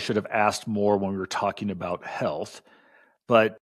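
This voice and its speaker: A man with an unremarkable speaking voice talks at a fairly quick pace in a fairly low pitch on a very clean recording with a silent background. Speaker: podcast co-host. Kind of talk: casual chat.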